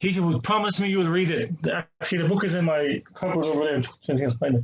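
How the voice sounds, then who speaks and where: A man speaks in an Irish accent at a high pitch. His pace is very fast. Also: ordinary pitch variation, very even loudness. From Ireland. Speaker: imam. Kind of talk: testimony. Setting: online seminar.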